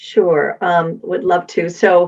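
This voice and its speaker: A woman with an American accent speaks at medium pitch, an ordinary speaking voice. Her pace is fairly slow and her intonation fairly even. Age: 60s. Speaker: wellness advocate. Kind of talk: interview.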